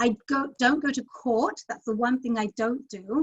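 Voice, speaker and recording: A woman talks at a moderate pace with fairly even intonation. Her pitch is fairly high. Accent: London. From London, England. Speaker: immigration lawyer. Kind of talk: interview.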